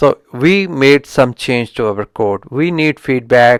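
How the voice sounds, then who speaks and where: A man speaks at a fairly slow pace in a medium pitch, with a strong Indian accent. The recording is very clean and dry, with a silent background, a close sound and no echo. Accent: heavy Indian accent in English. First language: Indian language. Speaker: software engineering YouTuber. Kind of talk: book review talk. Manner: halting, with frequent restarts.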